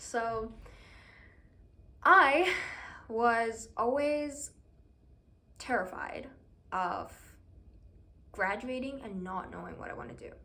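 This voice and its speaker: A woman with a bright, sharp tone and a fairly high voice speaks at a very slow pace with lively intonation, big swings in loudness, long, frequent pauses and audible room echo. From Iran. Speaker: university student vlogger. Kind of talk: casual personal vlog talk. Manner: hesitant, with fillers.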